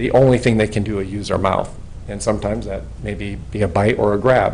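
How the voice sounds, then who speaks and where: There is noticeable background noise and an audible room echo as a man speaks with an American accent. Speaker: retired police officer speaking at public hearing. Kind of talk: public comment at council meeting. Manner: loud.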